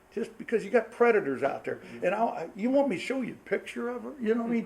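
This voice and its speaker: A man speaks at a very fast pace in a high pitch, with ordinary pitch variation. Noticeable background noise sits behind him. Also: big swings in loudness. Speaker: pastor. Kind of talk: marriage seminar talk. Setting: church with live audience. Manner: loud.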